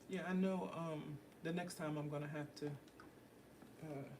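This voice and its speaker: Audible room echo surrounds a soft-spoken woman whose pitch is very deep and low. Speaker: painter livestreaming her art. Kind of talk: casual livestream chat while working. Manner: soft-spoken, talking low; casual, with many fillers.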